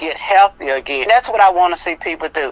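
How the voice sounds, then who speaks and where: A woman speaks in an ordinary speaking voice at medium pitch. Her pitch varies in an ordinary way, and her pace is fairly quick. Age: 60s. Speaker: health product seller. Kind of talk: interview. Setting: podcast.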